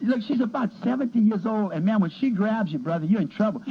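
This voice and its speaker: Over noticeable background noise, a man with an extremely high pitch talks at a fairly quick pace with lively intonation. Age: 60s. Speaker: pharmacist. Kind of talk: casual chat.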